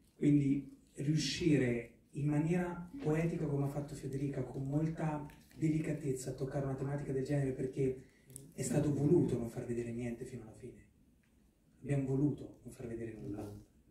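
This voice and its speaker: Audible room echo surrounds a man who speaks at a fairly quick pace and fairly high pitch, with fairly even intonation and big swings in loudness. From Marche, Italy. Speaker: actor and film producer; actor. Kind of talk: press conference. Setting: press conference hall with microphone. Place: hall.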